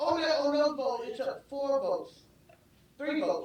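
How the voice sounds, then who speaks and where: With a Southern US accent, a woman talks fairly quickly with lively intonation. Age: 70s. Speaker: city commissioner. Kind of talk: public meeting statement. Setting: city commission meeting. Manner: halting, repetitive.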